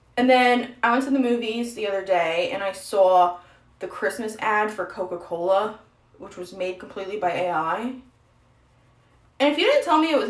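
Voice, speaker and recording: A woman talks over noticeable background noise. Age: young. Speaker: streamer. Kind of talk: casual chat. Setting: livestream while doing makeup.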